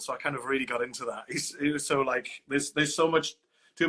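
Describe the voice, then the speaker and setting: The speaker is a man. He talks with a Welsh accent. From Wales. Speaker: opera singer. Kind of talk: interview. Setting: live stream.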